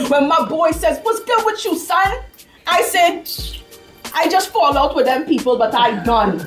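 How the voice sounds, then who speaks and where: A woman at a moderate pace with very wide pitch swings, music playing in the background. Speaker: spoken word poet. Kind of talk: spoken word poetry performance.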